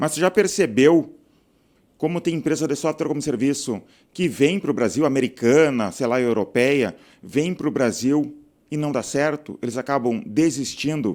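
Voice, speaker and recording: A man with a plain, everyday voice and a fairly high pitch talks at a moderate pace with ordinary pitch variation in a very clean recording with a silent background. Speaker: software entrepreneur and channel host. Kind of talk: casual talking-head video monologue. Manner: conversational, frequent filler 'tá'.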